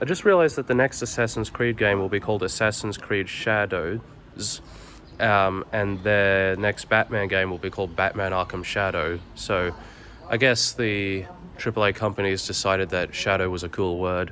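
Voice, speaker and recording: Intonation is fairly even. The speaker keeps a moderate pace. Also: man, fairly low pitch for a man. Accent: Australian. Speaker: vlogger, game development student. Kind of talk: travel vlog narration.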